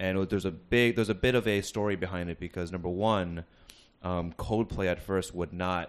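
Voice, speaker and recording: Against a quiet background, a man with an American accent and a very deep, low pitch speaks at a moderate pace with fairly even intonation. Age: 20s. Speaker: podcast guest. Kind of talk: casual chat. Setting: recorded at a university.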